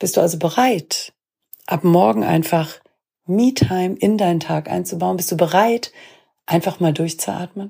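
In a very clean recording with a silent background, a woman with a dark, mellow tone and fairly low pitch speaks at a fairly slow pace, using vocal fry, lively intonation and long, frequent pauses. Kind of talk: guided meditation. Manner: slow, calm, soothing, with long pauses; gentle, warm, reassuring.

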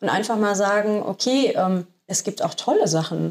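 At a moderate pace, a woman talks at medium pitch in a normal speaking voice. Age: 30s. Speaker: business development officer. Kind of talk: casual interview.

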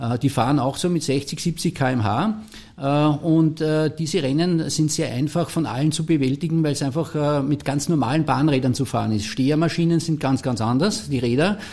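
Speaking with an Austrian accent, a man uses a fairly high pitch and a dark, mellow tone. His loudness stays very even, with ordinary pitch variation, a moderate pace, and hardly any pauses. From Austria, St. Pölten (Lower Austria). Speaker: former world champion track cyclist. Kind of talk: interview. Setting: studio. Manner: hesitant, many filler sounds.

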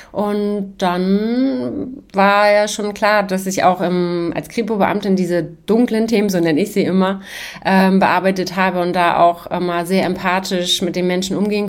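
A normal speaking voice from a woman at medium pitch, moderate pace, fairly even intonation and hardly any pauses. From Hamburg, northern Germany. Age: 40s. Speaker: trauma therapist, former police detective. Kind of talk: casual interview.

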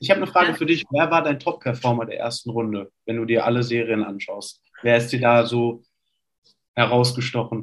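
Using an unremarkable speaking voice, a man of medium pitch talks at a fairly quick pace with ordinary pitch variation. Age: 20s. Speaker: basketball player. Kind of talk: casual chat.

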